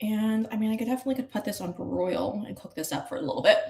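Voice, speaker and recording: Somewhat breathy and fairly high, a woman's voice with an American accent moves at a moderate pace. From New York. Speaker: online show host. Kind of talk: casual live-stream cooking chat. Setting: kitchen at an Airbnb. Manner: casual, chatty. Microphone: poor stream signal.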